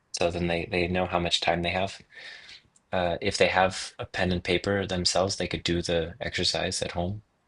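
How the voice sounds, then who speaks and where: Against a quiet background, a man speaks at a very deep, low pitch with monotone, flat intonation. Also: moderate pace. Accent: American. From US Midwest. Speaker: livestream co-host. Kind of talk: casual planning chat.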